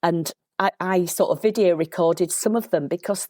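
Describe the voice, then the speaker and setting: With a Yorkshire accent, a woman speaks at a moderate pace in a medium pitch and dark, mellow tone, with ordinary pitch variation and a dry, close sound with no echo. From Yorkshire, England. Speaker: local historian. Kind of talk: casual interview chat. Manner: animated.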